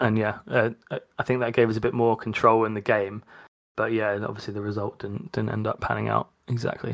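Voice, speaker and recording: A man's fairly low voice, fairly quick and in monotone, flat intonation. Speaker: podcast co-host. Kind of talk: casual football podcast chat.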